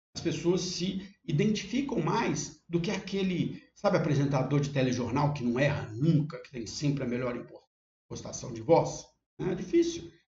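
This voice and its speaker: Spoken at a moderate pace with a Minas Gerais accent, the voice has lively intonation and big swings in loudness, with audible room echo. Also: man, fairly high pitch for a man. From Brazil, Minas Gerais. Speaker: university teacher. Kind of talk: online course lesson. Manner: conversational with fillers and self-corrections.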